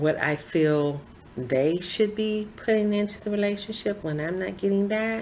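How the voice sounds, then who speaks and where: A woman's voice carries audible room echo. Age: 60s. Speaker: lifestyle vlogger. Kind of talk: personal testimony to camera.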